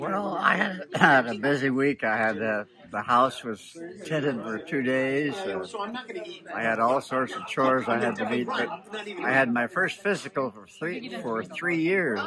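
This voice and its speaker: A man with a Californian accent, very wide pitch swings, a dry sound with no echo and noticeable background noise. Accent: American (Californian). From California, Bakersfield. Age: 80s+. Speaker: retired trial lawyer. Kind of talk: casual chat. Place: garden. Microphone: phone near.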